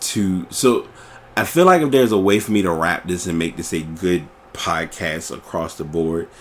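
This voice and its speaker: Very deep, low male speech with ordinary pitch movement. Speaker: podcast host. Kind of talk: casual monologue. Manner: relaxed, nonchalant; halting, with fillers.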